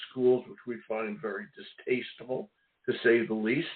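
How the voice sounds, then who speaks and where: In a Philadelphia accent, a man talks with lively intonation. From Philadelphia, US. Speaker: radio host. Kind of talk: radio interview. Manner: animated.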